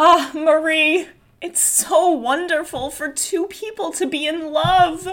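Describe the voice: A woman uses a put-on character voice pitched extremely high with a fairly bright tone. She goes at a slow pace with fairly even intonation.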